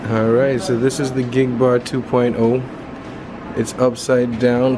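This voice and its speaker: Noticeable background noise surrounds the speaker. A man talks with monotone, flat intonation. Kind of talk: casual vlog chat. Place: hall. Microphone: phone near.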